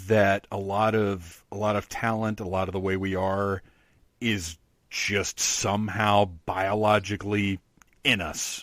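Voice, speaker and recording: An ordinary speaking voice from a man, fairly low in pitch, with fairly even intonation at a fairly slow pace, on a very clean recording with a silent background. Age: 40s. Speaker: podcast host. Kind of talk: interview.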